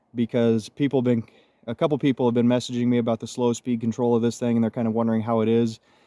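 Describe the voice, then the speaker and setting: Dark, mellow tone in a dry, close recording with no echo, very clean and over a silent background. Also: man. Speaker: RC hobby YouTuber. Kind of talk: casual tutorial. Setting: outdoors. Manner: casual.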